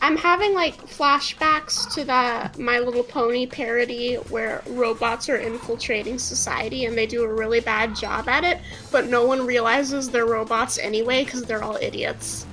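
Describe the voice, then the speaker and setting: Over music in the background, a woman talks at a moderate pace and a high pitch with hardly any pauses. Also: ordinary pitch variation. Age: young. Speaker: gaming companion. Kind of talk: casual chat.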